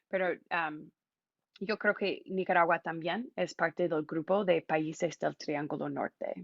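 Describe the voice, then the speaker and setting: Speaking in an English accent, a woman uses a fairly low pitch with vocal fry, fairly even intonation and a fairly slow pace. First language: English (speaking Spanish). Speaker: immigration volunteer and speaker. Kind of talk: public talk. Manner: halting, many fillers.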